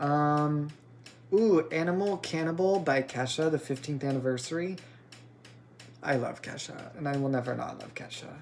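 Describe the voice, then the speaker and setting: The pace is moderate. Long pauses come often. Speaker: podcast host. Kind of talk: casual solo podcast monologue. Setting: recorded on an iPad at home. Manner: animated.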